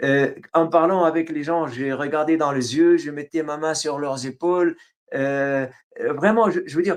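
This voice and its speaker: With an Arabic accent, a man talks fairly slowly in a fairly high pitch and with fairly even intonation. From Syria. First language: Arabic (speaking French). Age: 60s. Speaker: writer. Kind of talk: interview. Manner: halting, many hesitations.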